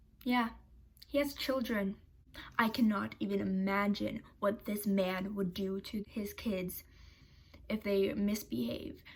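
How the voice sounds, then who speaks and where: Speaking at a very slow pace, a woman leaves long, frequent pauses, her voice somewhat breathy with ordinary pitch variation. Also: medium pitch for a woman. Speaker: YouTuber. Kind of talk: commentary video. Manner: animated.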